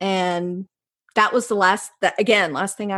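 A woman speaks with a North Carolina accent. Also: quiet background. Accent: Southern US (North Carolina). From North Carolina, US South. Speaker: placemaking researcher and author. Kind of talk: interview conversation.

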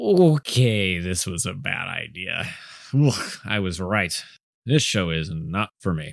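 Putting on a character voice, a man rumbles at fairly low pitch with lively intonation and a fairly slow pace. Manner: grumbling, uneasy, polite.

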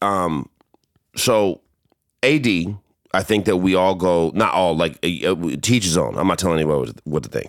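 A man with a very deep, low pitch and vocal fry speaks in an animated way at a moderate pace, with lively intonation, very even loudness and long, frequent pauses. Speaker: podcast host. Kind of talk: casual banter podcast. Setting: home recording, drinking. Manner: animated, joking, talks over partner.

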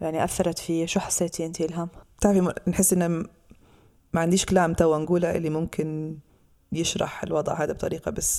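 A woman with a fairly low pitch talks at a moderate pace in a monotone, flat intonation, her tone dark and mellow, on a very clean recording with a silent background. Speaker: podcast host. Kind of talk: podcast discussion on legal issues.

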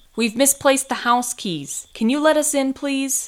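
A woman puts on a character voice, pitched high. She speaks at a moderate pace. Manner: polite.

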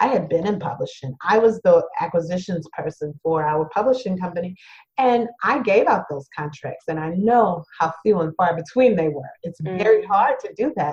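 Hardly pausing, a woman speaks at a moderate pace and medium pitch in a somewhat breathy voice with lively intonation. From Louisiana, Cajun area (Thibodaux). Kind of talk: interview conversation.

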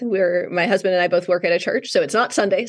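A woman with an American accent and an unremarkable speaking voice, fairly low in pitch, with ordinary pitch variation. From Wisconsin, North Woods. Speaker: author. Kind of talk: interview.

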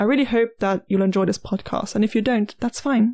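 The voice is a normal speaking voice, with ordinary pitch variation. There is a very clean recording and a silent background. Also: woman. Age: 20s. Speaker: podcast host, university student. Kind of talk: scripted monologue.

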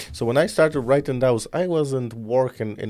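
A man speaks with a non-native accent in a dark, mellow tone. His pitch is medium. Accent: foreign-accented English. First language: not English. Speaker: podcast host. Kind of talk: casual interview chat. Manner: animated.

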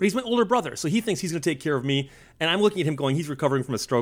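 With an American accent, a man is talking. His intonation rises and falls in a lively way. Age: 50s. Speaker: author and historian. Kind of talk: casual interview.

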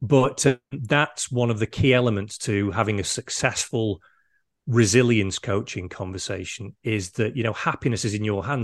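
A man with a Mancunian accent, medium pitch and a moderate pace, over a quiet background. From Manchester, England. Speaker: resilience coach. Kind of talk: interview. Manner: hesitant, repeats words.

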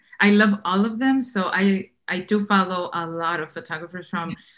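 A woman talks in an ordinary speaking voice at medium pitch with ordinary pitch variation. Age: 30s. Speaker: wedding photographer. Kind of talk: casual chat.

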